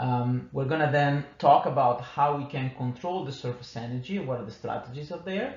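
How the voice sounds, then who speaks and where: At a moderate pace and with ordinary pitch variation, the voice carries audible room echo over noticeable background noise. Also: man. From Italy. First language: Italian. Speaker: engineering manager giving a technical talk. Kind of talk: conference lecture. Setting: conference workshop. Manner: halting, many fillers.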